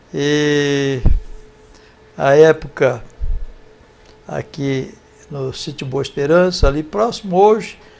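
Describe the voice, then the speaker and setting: Fairly high-pitched male voice over noticeable background noise. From Brazil, rural São Paulo state (Sertãozinho). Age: 70s. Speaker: volunteer in philanthropy. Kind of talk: interview, life story.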